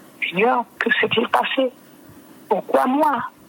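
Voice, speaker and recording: Noticeable background noise runs under the clip. A woman talks at a very slow pace. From French Guiana. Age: 60s. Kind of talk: testimony. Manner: halting, with repetitions and fillers.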